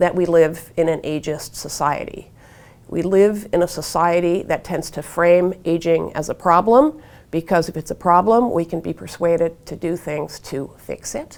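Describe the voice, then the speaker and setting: A woman with an American accent speaks in an ordinary speaking voice, fairly low in pitch, at a moderate pace with ordinary pitch variation. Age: 60s. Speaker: author and activist on aging. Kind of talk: interview monologue.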